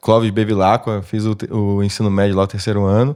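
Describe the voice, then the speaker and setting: A man speaks with a fairly low pitch and a dark, mellow tone. The recording is very clean, with a silent background. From Petrópolis, Rio de Janeiro state, Brazil. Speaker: engineer, technical sales professional. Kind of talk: interview podcast. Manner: hesitant, many fillers.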